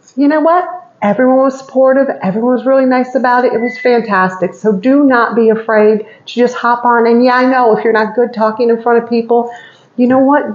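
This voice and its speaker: Noticeable background noise sits under a voice with fairly even intonation and a fairly quick pace. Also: woman, high pitch for a woman. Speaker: cooking demo vlogger. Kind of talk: cooking tutorial. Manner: fast; chatty, casual.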